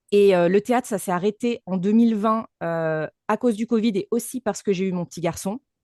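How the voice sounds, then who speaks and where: Speaking at a fairly quick pace with ordinary pitch variation, this dark, mellow voice sits over a quiet background in a dry, close recording with no echo. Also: woman, medium pitch for a woman. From France, Lyon region. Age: 30s. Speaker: voice actress and speaking coach. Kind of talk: podcast interview.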